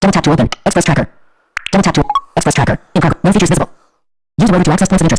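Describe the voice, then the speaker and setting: At a very fast pace yet with long, frequent pauses, a robotic voice holds a middle pitch. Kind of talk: flat, robotic. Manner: fast, mechanical.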